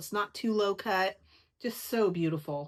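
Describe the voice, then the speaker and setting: A woman is speaking. Her pace is moderate. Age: 60s. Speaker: crochet vlogger. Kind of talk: casual chat. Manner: animated.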